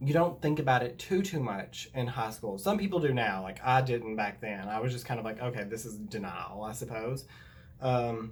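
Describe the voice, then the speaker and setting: A man talks with a Southern US accent. His voice is somewhat breathy. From US South. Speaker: YouTuber. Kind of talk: story time. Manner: casual, filler-heavy.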